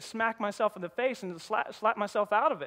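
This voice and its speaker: A man with a North Carolina accent at a very fast pace, with ordinary pitch variation. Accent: North Carolina Southern US. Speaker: pastor. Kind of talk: sermon. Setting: church.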